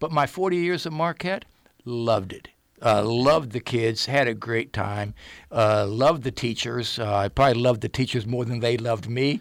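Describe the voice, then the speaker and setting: An unremarkable speaking voice from a man with an American accent, medium in pitch with ordinary variation, at a moderate pace on a very clean recording with a silent background. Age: 60s. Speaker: retired school principal and football coach. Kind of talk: casual interview. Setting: radio studio.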